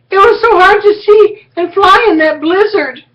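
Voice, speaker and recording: The put-on character voice is squeaky and extremely high in pitch, delivered at a moderate pace. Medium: read story.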